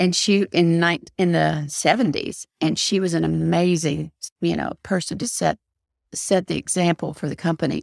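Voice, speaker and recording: A woman with a Southern US accent is heard in a very clean recording with a silent background and a dry, close sound without echo. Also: moderate pace. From US South, Knoxville, Tennessee. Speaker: real estate agent and podcast host. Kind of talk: interview.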